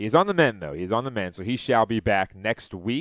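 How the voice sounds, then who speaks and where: In a dry, close recording with no echo, a man talks with a plain, everyday voice at medium pitch and lively intonation. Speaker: sports podcast host. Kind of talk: solo sports talk podcast recapping games and stats. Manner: loose, chatty delivery with frequent filler 'uh' between stat rundowns; folksy, rambling sign-offs that repeat themselves.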